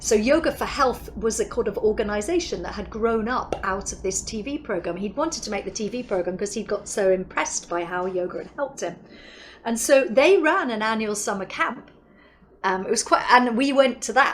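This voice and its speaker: Over noticeable background noise, a woman speaks with a southern English accent at a fairly quick pace. Her pitch is fairly high and her intonation lively. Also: big swings in loudness. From England, London. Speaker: yoga teacher. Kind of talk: interview. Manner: animated.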